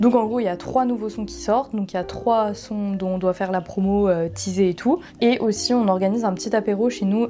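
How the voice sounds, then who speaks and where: Music plays in the background as a woman talks at a fairly quick pace and medium pitch. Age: 20s. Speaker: content creator and artist manager. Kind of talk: vlog. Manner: casual, hesitant with fillers.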